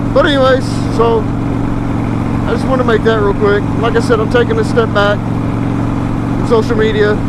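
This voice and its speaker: The talking goes at a fairly slow pace, and background noise is noticeable throughout. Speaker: motovlogger. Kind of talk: casual vlog monologue while riding. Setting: outdoors on a motorcycle. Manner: loud.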